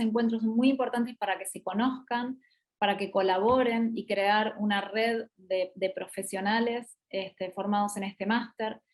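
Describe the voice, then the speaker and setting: With an Argentine accent, a woman speaks at a fairly high pitch with fairly even intonation. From Argentina. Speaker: business school regional representative and master's coordinator. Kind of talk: online promotional talk / Q&A. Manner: hesitant, many fillers.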